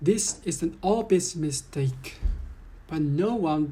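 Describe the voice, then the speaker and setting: A woman's very deep, low voice, dark and mellow, somewhat breathy, at a very slow pace. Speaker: vlogger. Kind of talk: complaint monologue.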